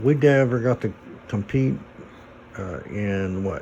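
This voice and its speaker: At a very slow pace, a man with a Midwestern US accent speaks with ordinary pitch variation. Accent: US Midwest. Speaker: vlogger. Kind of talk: casual chat.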